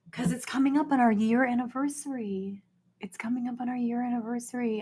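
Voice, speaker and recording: Speaking at a fairly quick pace with an American accent, a woman's somewhat breathy voice shows ordinary pitch variation. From US Deep South. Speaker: YouTube livestreamer. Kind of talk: casual livestream chat. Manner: animated.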